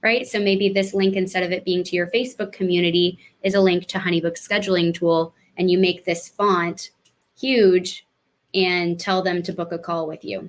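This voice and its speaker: This woman has an ordinary speaking voice at a medium pitch, talking at a moderate pace with fairly even intonation. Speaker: webinar presenter. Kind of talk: live webinar tutorial. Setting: live online webinar.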